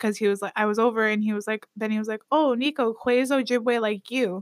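The voice is a woman's, fairly high in pitch. The sound is dry and close with no echo, in a very clean recording with a silent background. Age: 30s. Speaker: podcast co-host. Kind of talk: casual chat. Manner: laughs often.

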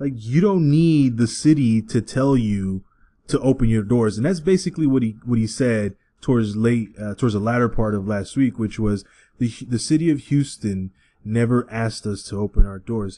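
With an American accent and a dark, mellow tone, a man at a medium pitch speaks at a moderate pace against a quiet background. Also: ordinary pitch variation. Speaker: podcast host. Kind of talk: casual banter podcast.

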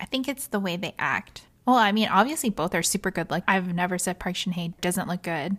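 A woman speaks in an ordinary speaking voice at medium pitch with ordinary pitch variation. The recording is very clean with a silent background, and she leaves hardly any pauses. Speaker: podcast co-host. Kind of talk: casual chat. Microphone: new mic.

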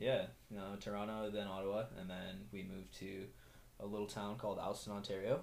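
A man speaks at a fairly quick pace with vocal fry. His pitch shows little movement. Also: fairly low pitch for a man, slightly mellow tone.

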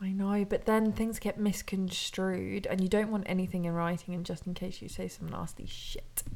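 A woman with a British accent speaks with hardly any pauses. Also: moderate pace. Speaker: podcast co-host. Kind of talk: casual chat.

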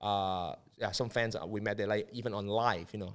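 A man with a Cantonese accent speaks at a moderate pace. The recording is very clean, with a silent background. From Hong Kong. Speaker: media and marketing entrepreneur. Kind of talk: casual chat. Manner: halting.

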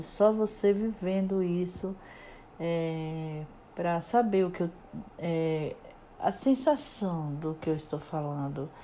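The voice has a dark, mellow tone and ordinary pitch variation, moving at a very slow pace. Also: woman. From Brazil, Alagoas (Northeast). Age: 50s. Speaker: podcaster. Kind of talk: personal storytelling monologue. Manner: halting, with many repetitions.

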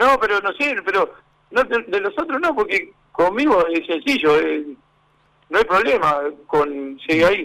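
A man speaks in a raised, projected voice at a high pitch, with a bright, sharp tone and very wide pitch swings. His pace is fairly slow, with long, frequent pauses. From Uruguay, Montevideo (Villa del Cerro). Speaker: former footballer and football coach. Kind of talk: radio interview.

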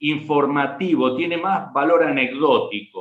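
A man with a Rioplatense accent, at a fairly slow pace. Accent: Argentine Spanish (rioplatense, voseo). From Argentina, Rafaela, Santa Fe. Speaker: history professor, writer and war veteran. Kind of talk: interview with story readings.

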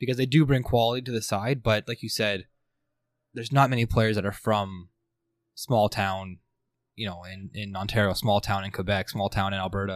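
Here a man talks in a normal speaking voice, fairly low in pitch and at a fairly quick pace. His intonation is fairly even, and the recording is very clean with a silent background. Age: 30s. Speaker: football podcast host. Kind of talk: casual chat.

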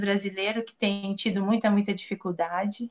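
At a moderate pace, a woman speaks with fairly even intonation in a normal speaking voice. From Brazil. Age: 40s. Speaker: emigrant interviewee. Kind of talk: interview.

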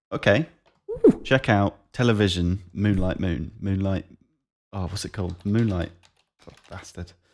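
A man with a South East English accent speaks at a fairly slow pace and a fairly low pitch, with ordinary pitch variation. His loudness swings widely, and he leaves long, frequent pauses. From South East England, Kent. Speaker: podcast co-host, amateur musician. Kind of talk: casual chat. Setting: remote call.

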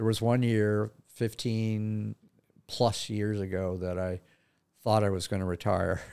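In a fairly low, dark and mellow voice with an American accent, a man speaks at a fairly slow pace with monotone, flat intonation over a very clean recording with a silent background. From California, Santa Barbara County. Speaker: retiring therapist. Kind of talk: casual interview. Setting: studio.

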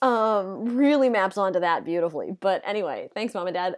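A woman talks in a normal speaking voice with an American accent. Her pace is fairly quick and her intonation lively, on a very clean recording with a silent background. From United States. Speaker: podcast co-host with legal background. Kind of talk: casual explanatory chat.

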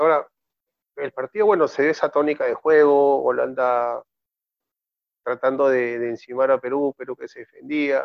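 Long, frequent pauses and big swings in loudness mark this man's moderate-paced speech, which has a fairly high pitch and fairly even intonation. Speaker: football commentator. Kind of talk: casual football discussion.

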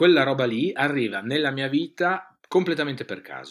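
With a plain, everyday voice, a man speaks at a moderate pace with lively intonation. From northeastern Italy, Friuli (province of Udine). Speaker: radio host and fashion expert. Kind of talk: interview.

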